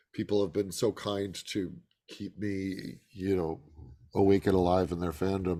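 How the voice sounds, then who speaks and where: A man speaks at a moderate pace with a fairly low pitch and a dark, mellow tone. The recording is very clean, the background silent. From US Midwest, Chicago. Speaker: actor. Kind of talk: interview. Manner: hesitant, many fillers.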